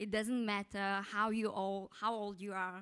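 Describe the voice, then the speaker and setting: A woman with a Mongolian accent speaks at a medium pitch and a moderate pace, with fairly even intonation. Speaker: PhD student. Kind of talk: conference presentation. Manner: halting.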